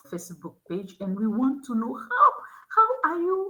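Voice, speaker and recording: Speaking at a fairly slow pace, a woman with a non-native accent has a bright, sharp tone. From Togo. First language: not English (English is her third language). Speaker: school admissions officer and youth education nonprofit founder. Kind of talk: interview conversation. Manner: halting, with frequent repetitions.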